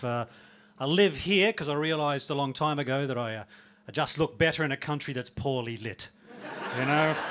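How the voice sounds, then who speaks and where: Long, frequent pauses break up a man's fairly high voice. There is noticeable background noise. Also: ordinary pitch variation, fairly quick pace. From Australia. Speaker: stand-up comedian. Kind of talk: live stand-up comedy set. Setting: comedy club stage.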